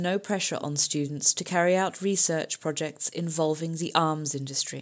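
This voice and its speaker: Over a silent background on a very clean recording, a woman with an unremarkable speaking voice talks at a moderate pace, her fairly low pitch held in fairly even intonation. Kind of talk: press release read aloud, then protest speech. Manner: formal, forceful, declamatory.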